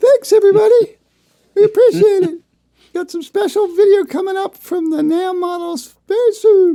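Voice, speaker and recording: A put-on character voice speaks at a moderate pace with an extremely high pitch. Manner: silly, put-on puppet voice.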